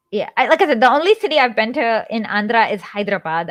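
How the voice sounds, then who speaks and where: A woman speaks at a moderate pace with a Kannada accent and a fairly high pitch. Her pitch swings very widely, and the sound is dry and close with no echo. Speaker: live stream show host. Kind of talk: casual chat. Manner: halting, many fillers.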